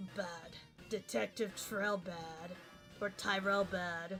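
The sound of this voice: With clear music in the background, a woman uses a raspy, put-on character voice at a medium pitch. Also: fairly slow pace.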